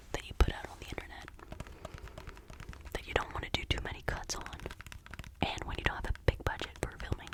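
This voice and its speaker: A woman whispers in a relaxed tone over noticeable background noise. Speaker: ASMR creator. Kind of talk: ASMR rambling to camera. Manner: whispered, soft, relaxed.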